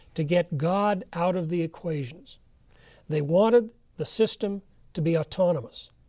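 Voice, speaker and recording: The background is quiet as a man speaks at a fairly slow pace. His tone is dark and mellow. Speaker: lecturer presenting history. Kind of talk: lecture. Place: studio. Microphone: lapel.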